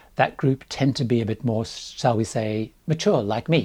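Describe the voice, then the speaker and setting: Here a man speaks at a moderate pace with lively intonation, in a dark, mellow tone that is somewhat breathy. The recording is very clean, with a silent background. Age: 60s. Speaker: cruise travel vlogger. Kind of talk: scripted narration.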